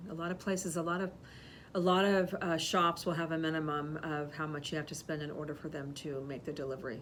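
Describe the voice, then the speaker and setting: Audible room echo surrounds a very fast delivery with fairly even intonation. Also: woman, very deep, low pitch for a woman. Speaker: podcast co-host, florist shop owner. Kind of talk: casual chat. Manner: loud; halting.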